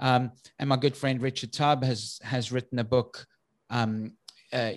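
On a very clean recording with a silent background, a man with a South African accent speaks at a moderate pace and medium pitch in a flat monotone. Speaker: IT business consultant. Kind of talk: interview. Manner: halting.

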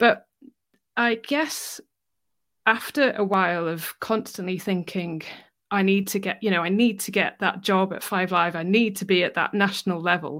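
A woman's medium-pitched voice, a normal speaking voice, at a moderate pace with ordinary pitch variation, very clean recording and a silent background. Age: 30s. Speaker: cancer rehab instructor. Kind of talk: interview.

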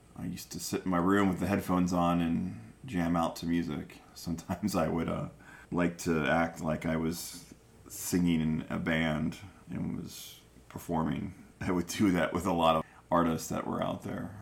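Here a man speaks at a moderate pace in a very deep, low voice. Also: fairly even intonation. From Chicago area, Illinois. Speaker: podcast host. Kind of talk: casual chat.

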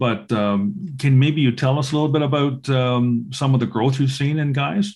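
Speaking at a moderate pace with hardly any pauses, a man uses a medium pitch with ordinary pitch variation and a somewhat breathy sound. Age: 60s. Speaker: podcast host. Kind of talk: casual interview chat.

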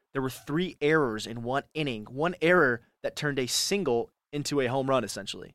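A man's fairly high, bright, sharp voice with an American accent and ordinary pitch variation, dry and close with no echo, on a very clean recording with a silent background. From California. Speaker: college radio sports host. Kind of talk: solo sports talk show. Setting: radio studio. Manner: casual, animated.

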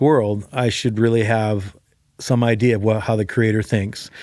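Here a man with an American accent has a normal speaking voice at medium pitch and a moderate pace. The recording is very clean, with a silent background. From Chicago. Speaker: pastor. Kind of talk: interview.

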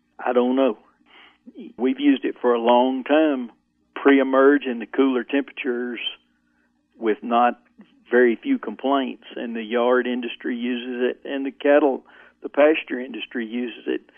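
A man with an Arkansas accent speaks at a moderate pace, his medium-pitched voice flat and monotone. Long pauses come often. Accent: Southern US (Arkansas). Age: 60s. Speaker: farmer. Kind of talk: interview.

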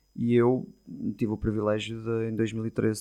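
A man's fairly low voice with a dark, mellow tone. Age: 40s. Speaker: football coach. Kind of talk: interview. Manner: halting, with repeated words.

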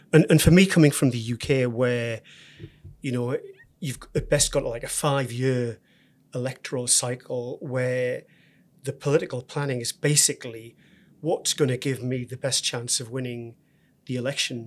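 With a northeast English accent, a man of medium pitch speaks at a moderate pace with fairly even intonation and long, frequent pauses, on a very clean recording with a silent background. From northeast England. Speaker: university executive. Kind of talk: interview.

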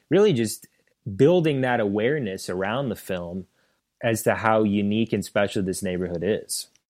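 This man has an unremarkable speaking voice, fairly low in pitch, talking at a moderate pace on a very clean recording with a silent background. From St. Louis, Missouri. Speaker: documentary filmmaker. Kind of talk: interview.

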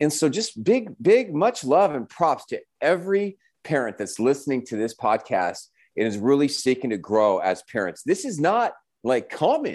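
Against a quiet background, a man speaks in an animated tone. His fairly high voice swings very widely in pitch. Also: moderate pace. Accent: American. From Southern California, San Diego. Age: 40s. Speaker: family coach. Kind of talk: casual interview.

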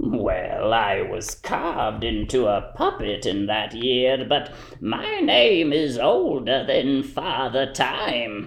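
A cartoonish character voice talks at a very slow pace with hardly any pauses. Light background noise sits underneath. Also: man. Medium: puppet show. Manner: whimsical, playful, self-assured.

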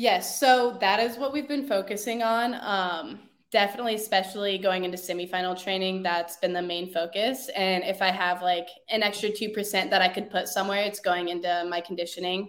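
At a fairly quick pace with hardly any pauses, a woman talks in an unremarkable speaking voice of medium pitch and ordinary pitch variation. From Chicago area, US Midwest. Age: 20s. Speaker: CrossFit athlete. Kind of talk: interview.

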